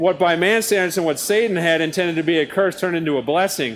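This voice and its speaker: Delivery comes at a fairly quick pace with fairly even intonation. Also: man. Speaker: lay preacher and gardener. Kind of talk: sermon.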